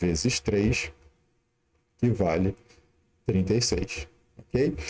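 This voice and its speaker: A man at a very slow pace, his intonation lively. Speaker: math teacher. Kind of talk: live-streamed lesson. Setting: live stream.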